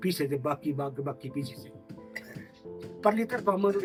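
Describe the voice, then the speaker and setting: A man's voice over music in the background. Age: 70s. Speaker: shepherd. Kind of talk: interview answer.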